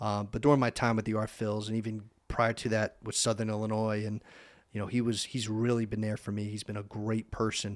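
A man's fairly low, monotone and flat voice with an American accent, at a fairly quick pace, in a very clean recording with a silent background. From eastern Pennsylvania (Easton). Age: 30s. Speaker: sports broadcaster. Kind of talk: casual chat. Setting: studio.

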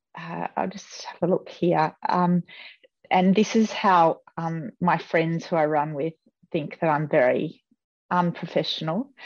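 Against a quiet background, a woman with an Australian accent speaks at a fairly slow pace in a fairly low pitch. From Australia, rural New South Wales (Riverina). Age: 50s. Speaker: former Olympic distance runner. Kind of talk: casual interview.

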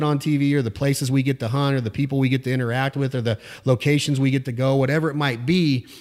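A man's medium-pitched voice at a very fast pace. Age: 40s. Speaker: waterfowl hunting show host and brand founder. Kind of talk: interview. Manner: animated.

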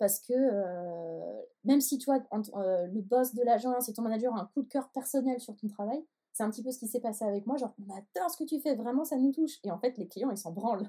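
A woman's fairly high, dark and mellow voice at a fairly quick pace, with ordinary pitch variation. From Paris. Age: 20s. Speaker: photographer. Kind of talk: interview.

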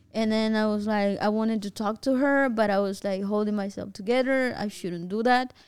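Talking at a fairly quick pace with hardly any pauses, a woman with a Spanish accent uses fairly even intonation and a fairly high pitch. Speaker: podcast host. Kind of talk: casual chat. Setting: studio.

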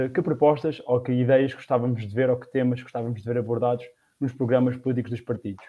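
A man at medium pitch, talking at a very fast pace. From Portugal, Batalha (Leiria district). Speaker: political discussion show host. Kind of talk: political discussion. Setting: online livestream.

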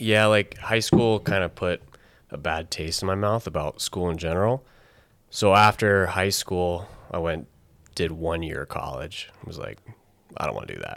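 In a very clean recording with a silent background, a man with a very deep, low pitch speaks at a moderate pace with ordinary pitch variation. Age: 20s. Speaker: wildland firefighter. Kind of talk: casual chat.

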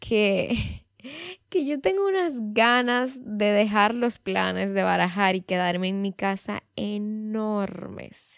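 Against a silent background in a very clean recording, a woman speaks at a very slow pace and medium pitch with ordinary pitch variation. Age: 20s. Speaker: podcast host. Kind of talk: solo podcast monologue. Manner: casual, conversational.

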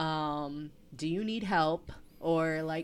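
Her voice is an unremarkable speaking voice, a woman's, fairly low in pitch with ordinary pitch variation. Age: 30s. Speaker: podcast co-host, early childhood specialist. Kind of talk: casual chat.

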